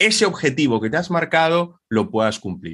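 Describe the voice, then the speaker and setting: A man's voice with very wide pitch swings. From Dominican Republic. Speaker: sales and communication trainer. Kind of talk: interview.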